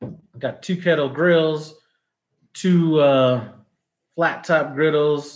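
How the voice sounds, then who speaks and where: A man with a fairly high voice speaks at a very slow pace, with fairly even intonation and long, frequent pauses against a quiet background. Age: 40s. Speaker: cooking YouTuber; cooking channel host. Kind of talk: live stream Q&A. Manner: casual, filler-heavy. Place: home room. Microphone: phone near.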